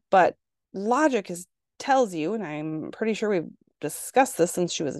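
Against a quiet background, a woman speaks at a moderate pace in an animated tone, the sound dry and close with no echo. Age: 40s. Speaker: podcast host and registered nurse. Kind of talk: casual monologue podcast. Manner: animated, chatty.

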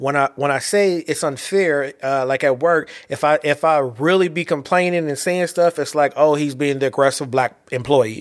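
Recorded very cleanly over a silent background, a man talks at a moderate pace in a fairly high pitch with ordinary pitch variation. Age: 40s. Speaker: podcast host and poet. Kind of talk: solo monologue podcast. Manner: halting, many fillers and repetitions.

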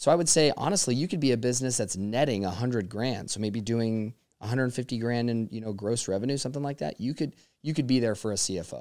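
Talking at a very fast pace, a man keeps a medium pitch with ordinary pitch variation on a very clean recording with a silent background. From Las Vegas. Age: 30s. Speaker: accountant. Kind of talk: casual interview chat. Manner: comedic cadence.

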